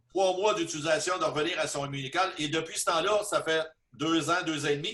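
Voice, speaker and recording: A man speaks with a Quebec accent in a fairly high pitch and a bright, sharp tone. His intonation stays fairly even at a fairly quick pace. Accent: Québécois French. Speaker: business presenter. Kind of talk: testimony. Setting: video call.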